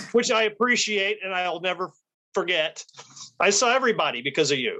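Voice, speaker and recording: With an American accent, a man speaks in a high, bright and sharp voice, raised and projected, with lively intonation and a fairly quick pace. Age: 60s. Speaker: street photographer. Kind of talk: casual interview chat.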